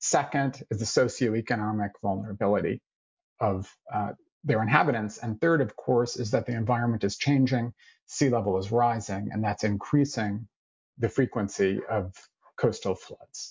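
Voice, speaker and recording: Somewhat breathy, a man speaks at a moderate pace and medium pitch with ordinary pitch variation. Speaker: climate researcher. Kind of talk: slide presentation. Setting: video call.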